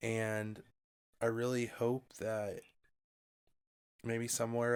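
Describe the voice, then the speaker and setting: The speech moves at a fairly slow pace. The recording is very clean, with a silent background. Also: man. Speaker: podcast host. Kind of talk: casual chat. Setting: at home, late at night.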